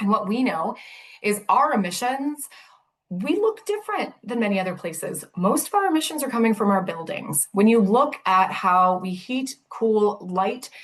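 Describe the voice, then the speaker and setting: Somewhat breathy, the voice has an animated tone and lively intonation. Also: woman, fairly high pitch for a woman. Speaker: city sustainability director. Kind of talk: presentation. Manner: fast.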